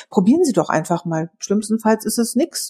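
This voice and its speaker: Talking at a very fast pace, a woman sounds animated, her intonation lively. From Berlin, Germany. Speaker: podcast co-host on sales. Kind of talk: casual chat.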